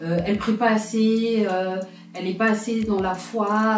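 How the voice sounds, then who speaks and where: Over music in the background, a woman with a fairly high pitch speaks at a fairly slow pace with fairly even intonation. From France, of Congolese heritage. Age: 30s. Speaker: customer service technician. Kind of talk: interview answer.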